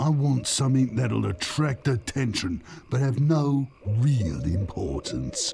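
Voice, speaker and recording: In a put-on character voice, a man speaks at a fairly slow pace with a medium pitch. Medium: video game. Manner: stern, stubborn.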